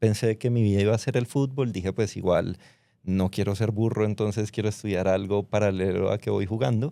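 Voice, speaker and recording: In a Bogotá accent, a man with a fairly low pitch and a dark, mellow tone speaks at a fairly quick pace on a very clean recording with a silent background. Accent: Bogotá Colombian Spanish. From Colombia, Bogotá. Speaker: fintech founder, former footballer. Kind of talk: interview. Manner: casual, conversational.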